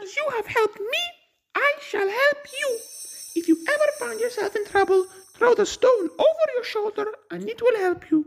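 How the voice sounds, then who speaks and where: An extremely high, female-sounding put-on character voice. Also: moderate pace. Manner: eager, calling out.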